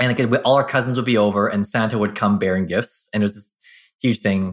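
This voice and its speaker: A man with a Canadian accent and a normal speaking voice, fairly low in pitch, on a very clean recording with a silent background. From Vancouver area, Canada (Burnaby). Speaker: market research agency president. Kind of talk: interview.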